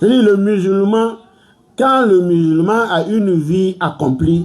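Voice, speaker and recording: Lively intonation marks this man's speech, delivered in a West African accent at a high pitch. His pace is fairly slow. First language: Malinke (speaking French). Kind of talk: sermon.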